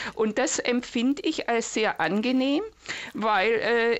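High female voice, its pitch swinging very widely. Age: 60s. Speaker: retired caller. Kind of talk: phone-in call.

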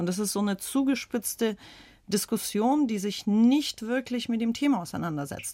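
A woman with a Russian accent, moderate pace and lively intonation, on a very clean recording with a silent background. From St. Petersburg, Russia; raised in Germany from age 11. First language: Russian (speaking German). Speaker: author. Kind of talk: radio panel discussion.

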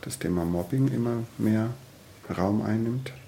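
In a calm tone, a man with a fairly low pitch speaks at a fairly slow pace with ordinary pitch variation. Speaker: social worker in youth welfare. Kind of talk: interview.

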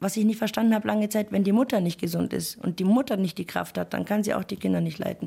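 In a very clean recording with a silent background, a woman talks at a very fast pace with hardly any pauses. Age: 30s. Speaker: single mother, cleaner. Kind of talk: interview testimony.

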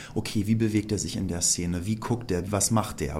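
With a normal speaking voice, a man talks at a fairly quick pace and fairly low pitch, with ordinary pitch variation. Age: 30s. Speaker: musical actor. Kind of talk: interview.

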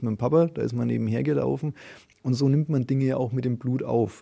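A man talks at a very fast pace. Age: 30s. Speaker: trade fair organizer. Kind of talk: interview.

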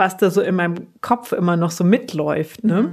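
Medium-pitched speech from a woman, on a very clean recording with a silent background. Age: 30s. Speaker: association employee seeking coaching. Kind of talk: coaching session. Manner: hesitant, many fillers.

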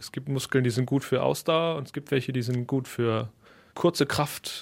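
A man in a plain, everyday voice at a medium pitch, with lively intonation and a moderate pace, in a very clean recording with a silent background. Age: young. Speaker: percussionist. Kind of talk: interview.

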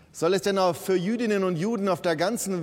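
Pitched high for a man, this male speaker keeps a moderate pace with lively intonation. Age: 50s. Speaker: bishop. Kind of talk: sermon. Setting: church.

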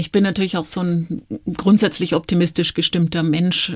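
The speaker is a woman. Her pitch sits fairly low. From Nuremberg, Franconia (Germany). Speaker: virologist, medical professor. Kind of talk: radio interview. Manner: relaxed, calm.

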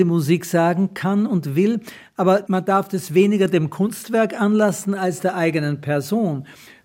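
This man has a high pitch with ordinary pitch variation. He speaks at a fairly slow pace. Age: 80s+. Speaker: writer and retired teacher. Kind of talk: interview.

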